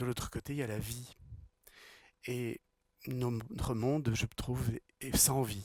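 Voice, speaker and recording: Speaking at a very slow pace with long, frequent pauses, a man with a medium pitch keeps his intonation fairly even. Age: 60s. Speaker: spiritual teacher and speaker. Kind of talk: talk to a live audience. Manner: repeats words, halting at times.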